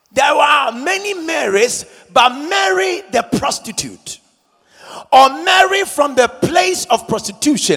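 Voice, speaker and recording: A man speaks at an extremely high pitch in a raised, projected voice with very wide pitch swings. His tone is dramatic and his pace very slow. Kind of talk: sermon. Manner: call-and-response, rousing pulpit delivery urging the congregation to repeat lines; emphatic, exhorting, with dramatic rhetorical questions.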